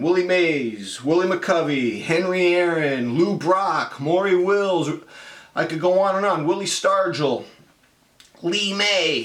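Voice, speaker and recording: With an American accent, a man speaks at a high pitch with lively intonation. Noticeable background noise and audible room echo fill the recording. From US West Coast, San Francisco Bay Area. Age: 50s. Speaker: college writing teacher. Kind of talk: casual explanatory talk to students. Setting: home room.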